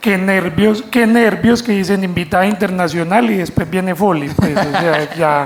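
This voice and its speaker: Speech comes at a fairly slow pace with very even loudness, ordinary pitch variation and hardly any pauses. Audible room echo and noticeable background noise fill the recording. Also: man, high pitch for a man. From Segovia, Antioquia, Colombia. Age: 40s. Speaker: storyteller. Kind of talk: stage storytelling. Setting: stage with audience.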